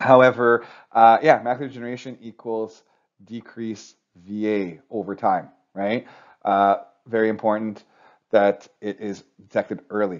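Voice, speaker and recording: A man speaks fairly slowly at medium pitch, with fairly even intonation and big swings in loudness. Long pauses come often. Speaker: optician trainer. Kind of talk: lecture. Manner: halting, self-correcting.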